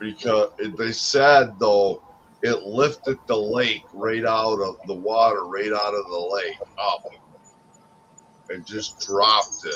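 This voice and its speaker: There is noticeable background noise as a man talks very slowly. His voice sits fairly low, with ordinary pitch variation. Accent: American. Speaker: streamer. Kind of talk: casual chat. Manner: loud.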